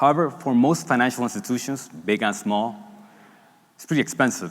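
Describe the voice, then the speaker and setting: With a Spanish accent, a man speaks at a medium pitch with lively intonation. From Dominican Republic. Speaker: startup founder and CEO. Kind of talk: product launch pitch on stage.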